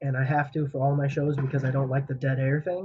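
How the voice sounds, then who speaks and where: Speaking at a very fast pace, the man has a fairly high pitch. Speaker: podcast host. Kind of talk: casual chat. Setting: podcast recording. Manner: animated.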